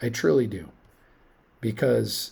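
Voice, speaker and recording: In an American accent, a man talks with lively intonation in a somewhat breathy voice with a dark, mellow tone. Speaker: investing commentator. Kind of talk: market analysis monologue. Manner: rambling, hesitant.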